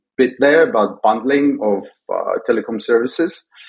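Here a man speaks with a Russian accent. He keeps a fairly slow pace. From Soviet Union. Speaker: tech entrepreneur. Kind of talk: podcast interview. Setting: remote call.

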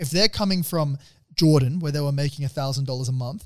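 A man talks at a very fast pace with an Australian accent, his fairly high pitch showing ordinary variation. The voice is somewhat breathy, on a very clean recording with a silent background. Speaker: podcast co-host. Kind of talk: casual chat.

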